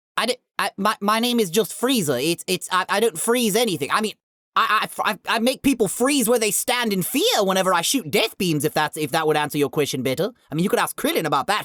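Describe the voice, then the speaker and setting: In a put-on character voice, the speaker talks at a very fast pace and a fairly high pitch. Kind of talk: comic parody interview. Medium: solo performance. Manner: stammering, defensive, self-important.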